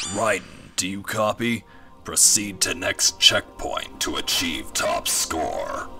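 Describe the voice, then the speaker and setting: A man talks at a fairly slow pace as music plays clearly in the background. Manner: commanding, then nonsensical and glitchy.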